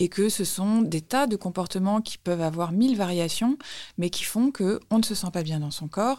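Her dark, mellow tone sits at a medium pitch, with lively intonation. The woman keeps a moderate pace. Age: 40s. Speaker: journalist and author. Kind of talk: casual chat.

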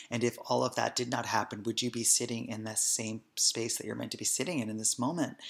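A man with an American accent talks at a very fast pace, with hardly any pauses. His medium-pitched voice has vocal fry and fairly even intonation. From New Jersey, Hoboken. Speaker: podcast host, wellness practitioner. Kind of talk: casual storytelling; podcast hosting monologue.

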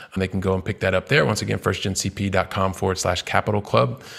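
A man with an American accent talks at a fairly quick pace in a fairly low pitch. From US Midwest, Columbus, Ohio. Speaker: real estate investor and entrepreneur. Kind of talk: interview. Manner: energetic.

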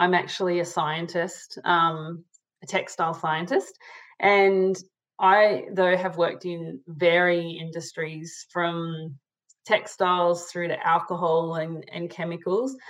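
An Australian accent marks this woman's fairly low voice, which moves at a very slow pace with fairly even intonation. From Sydney, Australia (eastern suburbs). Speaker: manufacturing leader and scientist. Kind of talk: interview conversation.

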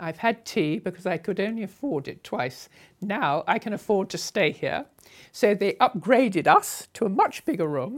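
A woman with a southern English accent, medium pitch, very wide pitch swings and a moderate pace, on a very clean recording with a silent background. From southern England, Sussex. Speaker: motorcycle traveller. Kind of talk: interview storytelling.

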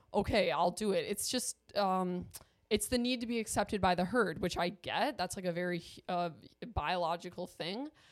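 In a normal speaking voice, a woman with an American accent talks at a moderate pace at medium pitch with ordinary pitch variation, in a very clean recording with a silent background. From US Midwest, Milwaukee, Wisconsin. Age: 20s. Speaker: video influencer. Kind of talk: casual chat.

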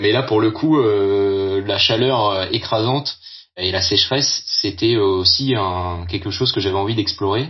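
Fairly low in pitch, a man talks at a fairly slow pace. His pitch varies in an ordinary way. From Brittany, France (Brest). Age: 30s. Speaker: adventurer, workplace safety officer. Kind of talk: testimony. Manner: halting.

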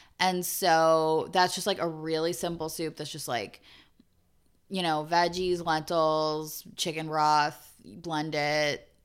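Speaking at a very slow pace, a woman uses a very deep, low pitch and fairly even intonation in a very clean recording with a silent background. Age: 30s. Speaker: podcast co-host. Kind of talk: casual chat.

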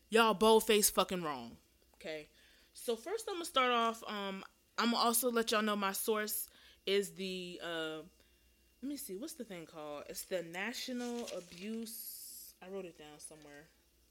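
A woman at a moderate pace and fairly high pitch, with lively intonation and big swings in loudness. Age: 20s. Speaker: podcast host. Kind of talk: casual monologue. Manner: halting.

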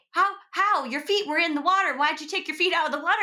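A woman with an American accent speaks in a raised, projected voice. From Seattle, US. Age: 30s. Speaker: actress and entrepreneur. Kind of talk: casual chat.

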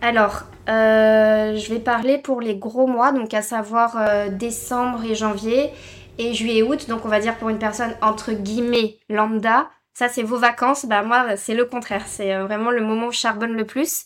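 A woman's fairly high voice, fairly slow and monotone, with flat intonation. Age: 20s. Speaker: flight attendant. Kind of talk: casual interview.

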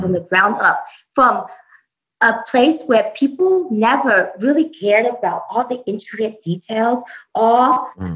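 Her American accent carries a fairly high pitch and lively intonation. The woman talks at a moderate pace and sounds somewhat breathy. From US West Coast (San Jose, California). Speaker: startup founder. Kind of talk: interview.

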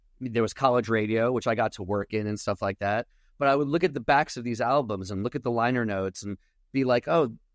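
A man with an American accent talks at a medium pitch in an ordinary speaking voice, with ordinary pitch variation. The background is quiet and the sound is dry and close with no echo. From New York, Long Island. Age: 50s. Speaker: comedian. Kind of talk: casual chat.

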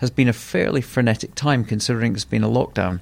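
A man with a normal speaking voice talks at a moderate pace and medium pitch. The recording is very clean with a silent background. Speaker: podcast host. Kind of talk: interview and scripted intro.

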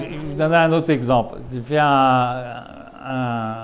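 Audible room echo surrounds a man speaking at a fairly slow pace. His pitch is medium, with ordinary variation. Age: old. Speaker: novelist. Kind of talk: interview. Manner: halting.

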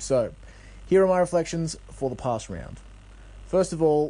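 His dark, mellow tone carries ordinary pitch variation as the man talks at a moderate pace. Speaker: podcast co-host. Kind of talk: recorded segment, animated commentary. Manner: animated.

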